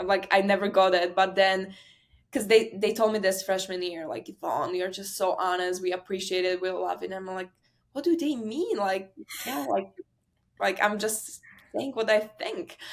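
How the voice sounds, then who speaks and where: A woman with a Slovak accent speaks at a moderate pace and medium pitch, with ordinary pitch variation and big swings in loudness. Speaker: college tennis player. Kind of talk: interview, casual chat.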